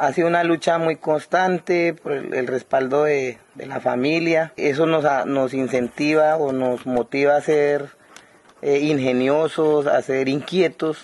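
Fairly high in pitch, a man talks at a very slow pace with fairly even intonation. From Guaviare, Colombian Amazon. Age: 30s. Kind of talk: interview. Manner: halting, frequent repetitions.

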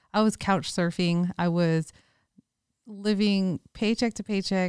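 In a very clean recording with a silent background and a dry, close sound with no echo, a woman with an American accent uses a normal speaking voice and fairly even intonation. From San Francisco Bay Area, California. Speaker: podcast co-host, investor. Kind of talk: casual chat. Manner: laughs often.

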